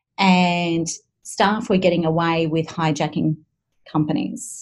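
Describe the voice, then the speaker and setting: A somewhat breathy woman speaks with an Australian accent and a fairly low pitch. The background is quiet. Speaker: communication consultant. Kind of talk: interview conversation. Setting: video call.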